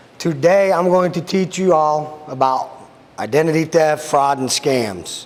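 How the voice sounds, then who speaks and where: The man's voice is loud. Noticeable background noise can be heard behind him. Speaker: sheriff's deputy. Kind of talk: public talk / presentation. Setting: room with live audience.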